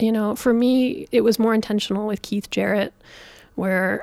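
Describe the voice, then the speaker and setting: A woman with a Canadian accent talks at a fairly quick pace in an ordinary speaking voice, with medium pitch and fairly even intonation. The recording is very clean, with a silent background. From Calgary, Canada. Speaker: jazz pianist and composer. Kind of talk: interview.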